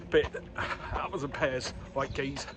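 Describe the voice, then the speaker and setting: There is noticeable background noise as a man talks with a fairly high pitch. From northern England, Newcastle. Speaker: running vlogger. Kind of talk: vlog narration while running. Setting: outdoors, running along a canal in London.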